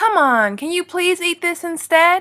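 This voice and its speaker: This is a put-on character voice. It sounds squeaky and is raised and projected. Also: woman. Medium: read story.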